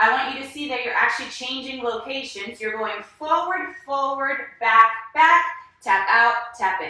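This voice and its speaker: A woman's raised, projected voice, high in pitch, with a bright, sharp tone, lively intonation and audible room echo. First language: not English. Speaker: dance instructor. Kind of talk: online dance class. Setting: live video class. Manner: animated.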